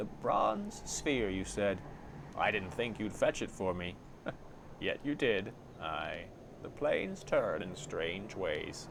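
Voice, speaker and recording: A man does a put-on character voice at a fairly slow pace, with clear background noise and hissing. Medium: actual play. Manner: sly, hissing, mocking.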